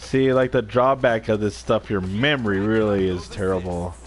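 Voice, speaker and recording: A man speaks at a fairly slow pace and a fairly low pitch, his intonation lively. Noticeable background noise is present. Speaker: gaming livestreamer. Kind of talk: casual chat. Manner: rambling casual.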